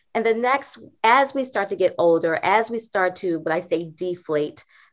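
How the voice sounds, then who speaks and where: At a moderate pace, a woman of medium pitch uses a plain, everyday voice with lively intonation, recorded very cleanly against a silent background. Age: 40s. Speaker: dermatologist. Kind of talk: interview.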